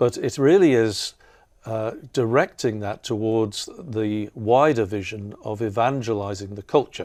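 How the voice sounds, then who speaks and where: A man speaks with an English accent. His pitch varies in an ordinary way, and the recording is very clean with a silent background. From England. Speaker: artist and professor. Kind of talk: interview conversation. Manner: halting, many fillers.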